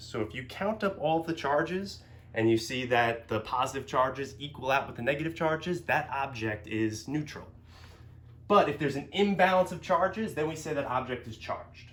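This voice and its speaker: A man's fairly high voice moves in very wide pitch swings, with audible room echo. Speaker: physics teacher. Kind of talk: lecture. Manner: fast; filler words, um and uh.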